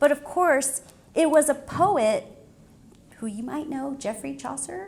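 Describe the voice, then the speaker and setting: A woman speaks at a high pitch with ordinary pitch variation. Her loudness swings widely. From Mexico (Monterrey, born in Mexico City), then US. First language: Spanish. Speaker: poet and English professor. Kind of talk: public talk to students. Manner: conversational, many fillers.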